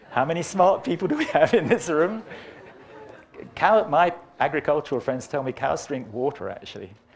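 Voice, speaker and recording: A man speaks with long, frequent pauses. His pitch is fairly high, and background noise is noticeable. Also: lively intonation, moderate pace. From England, Birmingham. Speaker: climate science professor. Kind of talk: lecture. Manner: animated.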